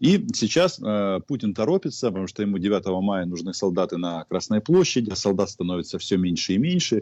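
A normal speaking voice from a man of fairly low pitch, with lively intonation at a moderate pace. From Ukraine. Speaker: journalist. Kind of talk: casual chat. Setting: video call.

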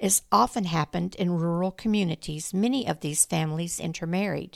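A woman with a plain, everyday voice, fairly low in pitch, with ordinary pitch variation and a fairly slow pace, in a very clean recording with a silent background and a dry, close sound with no echo. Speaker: true-crime podcast narrator. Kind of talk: true-crime narration, scripted storytelling. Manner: measured, even-paced, storytelling delivery; serious, somewhat formal tone.

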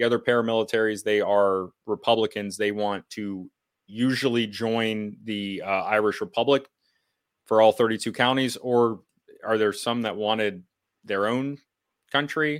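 A man talks at a moderate pace with an American accent and a medium pitch. The recording is very clean, with a silent background. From United States. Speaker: podcast host. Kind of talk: interview discussion. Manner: casual, hesitant with fillers.

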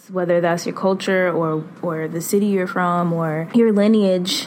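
A medium-pitched woman with an American accent and fairly even intonation, set against noticeable background noise. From Boston. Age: 20s. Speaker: consultant and substitute teacher. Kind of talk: personal reflection monologue.

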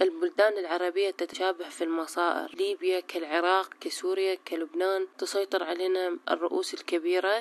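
Speaking with a Baghdadi accent, a woman keeps a moderate pace with hardly any pauses and very even loudness. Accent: Iraqi Arabic (Baghdadi). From Iraq, Baghdad. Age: 30s. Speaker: law graduate, activist. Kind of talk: conversational dialogue.

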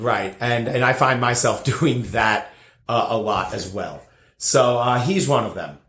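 In an American accent, a man speaks at a fairly slow pace and medium pitch with ordinary pitch variation, and audible room echo surrounds his voice. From New Jersey, near New York. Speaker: bartender. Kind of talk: casual interview. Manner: halting, repeats words.

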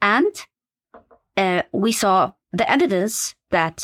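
The sound is dry and close with no echo, in a very clean recording against a silent background. A woman speaks at a medium pitch. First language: Arabic. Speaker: medical education professor. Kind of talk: interview. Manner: hesitant, many fillers.

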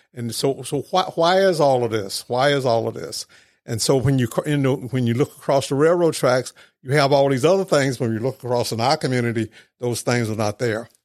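Here is a man with a plain, everyday voice and an American accent, at medium pitch with ordinary pitch variation. He talks at a fairly quick pace on a very clean recording with a silent background. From Mississippi (Mendenhall), US South. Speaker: ministry leader. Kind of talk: interview storytelling.

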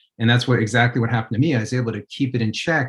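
A man with an American accent speaks in a somewhat breathy voice with fairly even intonation. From New York. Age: 40s. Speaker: addiction interventionist. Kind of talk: interview.

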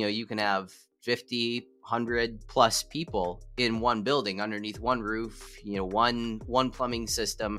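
With a plain, everyday voice, a man speaks at a medium pitch and moderate pace. His intonation is fairly even, with hardly any pauses. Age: 40s. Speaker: entrepreneur and real estate investor. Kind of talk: interview. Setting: video call.

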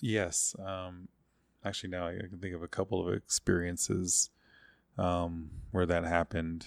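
With an American accent and a very deep, low pitch, a man speaks in a flat monotone, leaving long, frequent pauses, in a dry, close recording with no echo, very clean, with a silent background. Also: moderate pace. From Oklahoma. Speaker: church member, basketball coach. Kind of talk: testimony. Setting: in the host's home. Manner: halting, many fillers.

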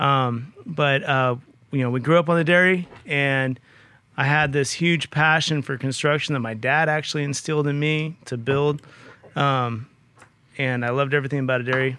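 Fairly high-pitched and fairly even in intonation, a man with an American accent talks at a moderate pace in an ordinary speaking voice. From California Central Valley, Merced. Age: 40s. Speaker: construction business owner. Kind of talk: casual chat.

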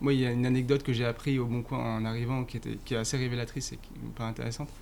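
A man of medium pitch speaks at a very fast pace. His intonation is monotone and flat. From Paris suburbs, France. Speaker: marketing director. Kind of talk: interview. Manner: hesitant, many fillers.

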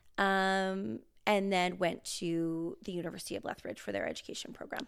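A woman with a Western Canadian accent, medium pitch and lively intonation, at a moderate pace, on a very clean recording with a silent background. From Canada, rural Alberta. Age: 30s. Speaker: podcast co-host. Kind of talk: casual chat.

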